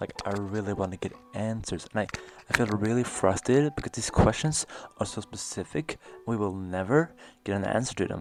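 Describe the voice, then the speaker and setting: A man talks at a fairly quick pace with a fairly low pitch. His intonation is lively. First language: not English. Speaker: video essayist. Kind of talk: video essay voiceover. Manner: halting.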